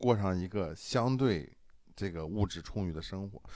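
An unremarkable speaking voice from a man, fairly low in pitch, with ordinary pitch variation and a moderate pace. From Shandong, China. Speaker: podcast host. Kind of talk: casual chat.

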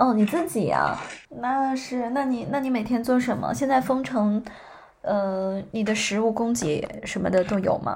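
A woman speaks in a plain, everyday voice at a fairly slow pace. Her pitch is fairly high, with ordinary variation. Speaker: podcast host. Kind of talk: casual chat.

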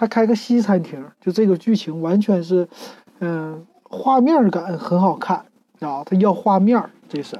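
A woman with a plain, everyday voice speaks at a moderate pace and fairly low pitch, her intonation lively. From Northeast China, Shenyang. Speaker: podcast host. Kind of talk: casual monologue review. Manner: relaxed, many fillers.

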